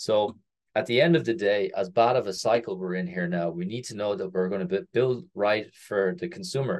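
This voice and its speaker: Moderate pace and lively intonation from a man with a fairly low voice and an Irish accent. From Ireland. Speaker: crypto startup co-founder. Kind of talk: casual interview.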